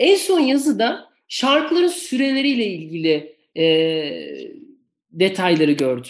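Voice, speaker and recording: A very slow pace with very even loudness. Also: woman. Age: 40s. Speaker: podcast host, works in music rights management. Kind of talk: interview. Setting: video call.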